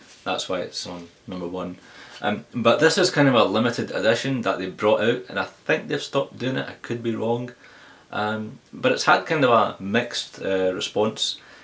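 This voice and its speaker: Lively intonation marks this man's medium-pitched voice in a Glaswegian accent. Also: moderate pace. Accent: Glaswegian Scottish. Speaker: tech reviewer. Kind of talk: casual talk to camera, tech Q&A.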